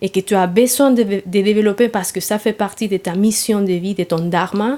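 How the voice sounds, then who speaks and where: A woman's fairly high-pitched voice with a Spanish accent at a fairly slow pace, on a very clean recording with a silent background. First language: Spanish (speaking French). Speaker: yoga therapy teacher. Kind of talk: interview. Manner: halting, many hesitations.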